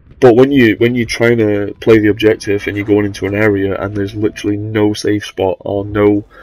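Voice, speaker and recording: A man's fairly low voice in a monotone, flat intonation, at a fairly quick pace, with noticeable background noise. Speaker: gamer. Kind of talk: casual gameplay commentary. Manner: hesitant, rambling.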